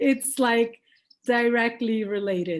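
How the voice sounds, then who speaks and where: A woman speaks with a Portuguese accent at a fairly high pitch, her intonation fairly even. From Brazil. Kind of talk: casual chat.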